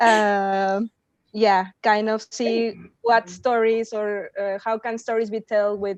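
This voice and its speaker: A woman's fairly high voice in a Spanish accent, very slow and monotone with flat intonation, dry and close with no echo over a quiet background. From Mexico. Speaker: workshop participant, philosophy graduate student. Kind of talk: self-introduction in online workshop.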